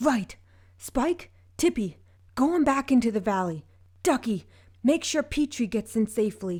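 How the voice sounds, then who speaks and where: Someone uses a put-on character voice at a moderate pace with long, frequent pauses, on a very clean recording with a silent background. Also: female-sounding voice, high pitch for a woman. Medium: read story.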